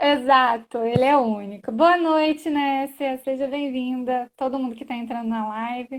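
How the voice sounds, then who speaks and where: High-pitched female speech, fairly slow, its pitch rising and falling in an ordinary way. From Brasília area, Goiás and Minas Gerais, Brazil. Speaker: lawyer. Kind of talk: live stream conversation.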